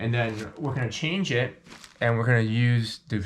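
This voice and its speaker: A man talks at a moderate pace in a somewhat breathy, medium-pitched voice with ordinary pitch variation. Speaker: airsoft reviewer. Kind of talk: product review tutorial. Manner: halting with many fillers.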